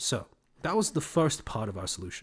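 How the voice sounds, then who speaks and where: Somewhat breathy, a man's voice swings very widely in pitch on a very clean recording with a silent background. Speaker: streamer recounting university experience. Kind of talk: casual livestream monologue. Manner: sardonic, sarcastic tone; casual, filler-heavy.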